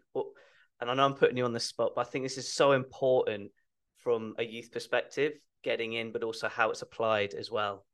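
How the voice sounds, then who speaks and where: At a moderate pace, a man talks with an English accent. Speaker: podcast host. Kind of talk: interview.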